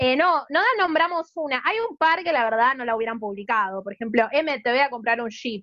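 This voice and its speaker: A woman with a Rioplatense accent speaks in a high voice with lively intonation, at a fairly quick pace and with hardly any pauses. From Argentina, Buenos Aires. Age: 30s. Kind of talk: casual chat.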